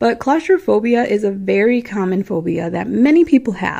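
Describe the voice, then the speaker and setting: Speaking with a Midwestern American accent, a woman has a fairly high pitch and lively intonation. Her pace is moderate. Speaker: podcast host. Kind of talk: storytelling podcast monologue. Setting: home recording at night. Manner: casual, chatty.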